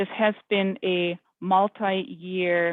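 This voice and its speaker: A woman is speaking. She has a European accent. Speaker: government project official. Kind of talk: public meeting Q&A. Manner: halting.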